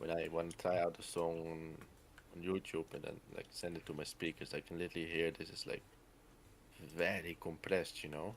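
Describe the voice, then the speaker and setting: A man's very deep, low voice, monotone and flat, at a fairly quick pace. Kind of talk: casual chat. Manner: halting.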